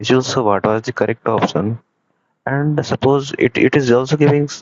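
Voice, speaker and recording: A man speaks with an Indian accent. His pace is moderate. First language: Hindi. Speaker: student developer presenting project. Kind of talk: software demo tutorial. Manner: halting.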